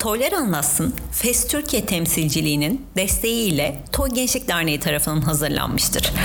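Over noticeable background noise and audible room echo, a woman with a fairly low pitch talks at a moderate pace with very wide pitch swings. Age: 30s. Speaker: podcast editor and host. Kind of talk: casual chat; scripted narration.

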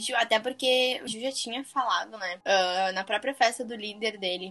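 A woman talks at a moderate pace as noticeable background noise carries on around her. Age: 20s. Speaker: podcast co-host. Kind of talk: casual chat. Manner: animated.

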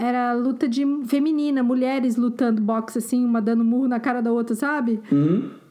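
With very even loudness and ordinary pitch variation, a woman talks in a high voice. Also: moderate pace. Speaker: podcast co-host. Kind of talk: casual chat.

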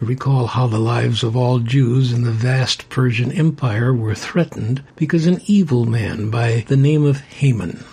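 Against noticeable background noise, a man speaks at a moderate pace and a medium pitch with ordinary pitch variation. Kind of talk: religious discussion podcast. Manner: calm.

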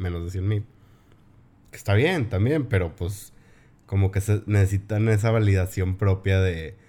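A man's fairly low, dark, mellow and somewhat breathy voice at a fairly slow pace, with ordinary pitch variation and long, frequent pauses. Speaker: podcast host. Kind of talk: casual chat.

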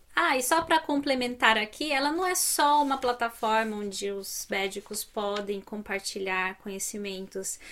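A woman's fairly high, bright and sharp voice at a moderate pace, lively in intonation, with hardly any pauses. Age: 30s. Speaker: finance YouTuber. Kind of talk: tutorial. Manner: animated.

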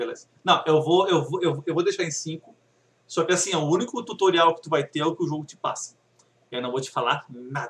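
A man with a normal speaking voice talks at a fairly high pitch and a fairly quick pace, with ordinary pitch variation and big swings in loudness. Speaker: podcast co-host. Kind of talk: casual chat.

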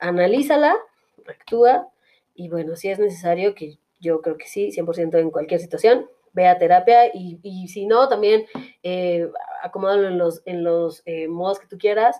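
In a Mexican accent, a woman speaks at a fairly slow pace and medium pitch. Her pitch varies in an ordinary way while her loudness swings a lot. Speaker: podcast host. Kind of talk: casual chat. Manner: halting.

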